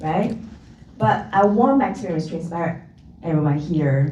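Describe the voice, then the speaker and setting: Amid noticeable background noise and audible room echo, a woman with a fairly low pitch speaks at a moderate pace with lively intonation. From China. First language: not English. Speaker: panelist, professional speaker. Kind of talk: panel discussion.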